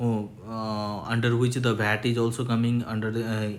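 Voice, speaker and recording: In a room with audible echo, a man speaks at a moderate pace and medium pitch with monotone, flat intonation. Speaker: chartered accountant giving tax tutorial. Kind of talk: tutorial. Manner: halting, many fillers.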